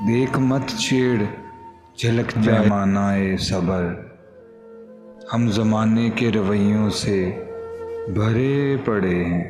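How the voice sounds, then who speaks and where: Over music in the background, a man talks at fairly low pitch with fairly even intonation and very even loudness. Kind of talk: poetry reading.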